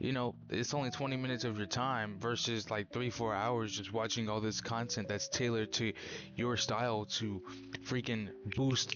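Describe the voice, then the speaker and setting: With music in the background, a man speaks at a moderate pace and medium pitch, keeping a fairly even intonation and very even loudness. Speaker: vlogger. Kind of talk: casual vlog monologue. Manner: casual with many fillers.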